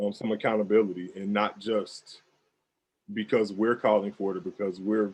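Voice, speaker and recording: A man talks in a fairly low pitch at a moderate pace. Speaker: police officer. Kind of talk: panel discussion. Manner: measured monotone.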